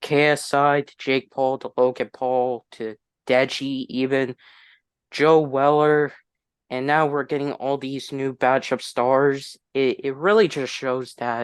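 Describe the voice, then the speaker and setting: A man's fairly high voice at a very slow pace, with fairly even intonation over a quiet background. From US, moved around (Tennessee, Massachusetts, Texas). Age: 20s. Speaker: YouTuber. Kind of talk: casual chat. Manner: halting.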